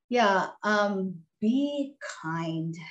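Her intonation lively, a woman speaks in an American accent. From Texas. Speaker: doctor and author. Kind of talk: interview.

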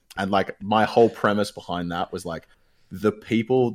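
A man speaks in an Australian accent with fairly even intonation. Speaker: gaming caster and streamer. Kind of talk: casual chat. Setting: remote call.

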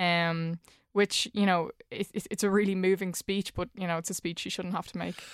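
A woman with an Irish accent speaks at medium pitch in a flat monotone. The recording is very clean and dry, close with no echo and a silent background. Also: moderate pace. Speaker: journalist. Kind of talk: casual chat.

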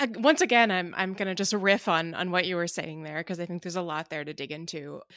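On a very clean recording with a silent background, a woman talks at a very fast pace with hardly any pauses, her fairly low pitch showing ordinary variation. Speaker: podcast host. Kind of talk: podcast intro and interview questions.

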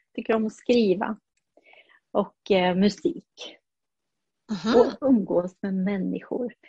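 At a very slow pace, a woman with a fairly high pitch and ordinary pitch variation speaks in a dark, mellow, somewhat breathy tone, leaving long, frequent pauses. The sound is dry and close with no echo. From Burundi (Swedish missionary family). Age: 60s. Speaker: neonatal nurse. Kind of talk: interview.

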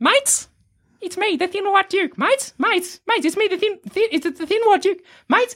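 Extremely high in pitch, a put-on character voice moves at a fairly slow pace.

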